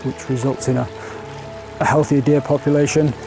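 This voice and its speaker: Clear music plays in the background as a man speaks at a fairly quick pace with fairly even intonation. The sound is dry with no echo. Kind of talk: interview answer. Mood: calm and explanatory. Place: open country.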